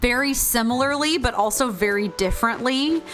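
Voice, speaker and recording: A Southern US accent with music in the background. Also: woman. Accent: Southern American drawl. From Georgia, USA. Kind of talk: casual, conversational.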